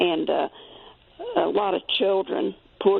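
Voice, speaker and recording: Speaking fairly slowly, a woman can be heard against noticeable background noise. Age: 80s+. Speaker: caller. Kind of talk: call-in comment. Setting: phone call. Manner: halting.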